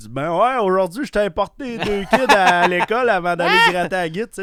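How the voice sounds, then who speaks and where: At a moderate pace, a speaker with a Quebec accent talks over noticeable background noise. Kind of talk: casual.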